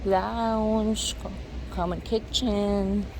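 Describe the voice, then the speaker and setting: A woman's voice is heard with noticeable noise in the background. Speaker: vlogger. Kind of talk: vlog walk narration. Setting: outdoors.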